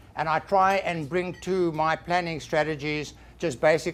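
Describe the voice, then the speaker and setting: Music plays behind a man with a fairly high pitch. His intonation stays fairly even. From South Africa. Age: 60s. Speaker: financial planner, small businessman. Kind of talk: business seminar presentation.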